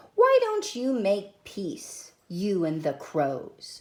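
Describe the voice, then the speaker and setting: A female-sounding, put-on character voice speaks in a calm tone. The pace is very slow. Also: medium pitch for a woman. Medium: read story. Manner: calm, patient.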